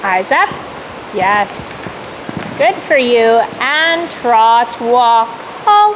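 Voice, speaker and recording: Shouting at a very slow pace with long, frequent pauses, a woman keeps her loudness very even while her high voice moves in lively intonation over noticeable background noise. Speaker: riding instructor. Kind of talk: riding lesson coaching. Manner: loud, yelling.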